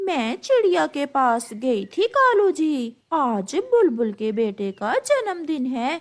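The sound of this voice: Using a cartoonish character voice, a woman speaks very slowly in a high pitch with very wide pitch swings.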